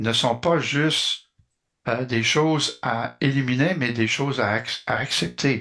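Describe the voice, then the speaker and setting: The background is quiet as a man speaks in a bright, sharp tone, his pitch varying in an ordinary way. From Quebec. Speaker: community volunteer. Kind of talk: interview. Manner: halting, many fillers.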